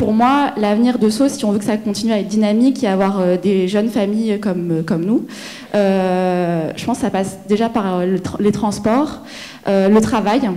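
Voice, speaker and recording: A woman talks at a moderate pace in a medium pitch. Noticeable background noise is present. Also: ordinary pitch variation. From provincial France. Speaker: resident at public meeting. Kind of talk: public meeting comment. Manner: halting.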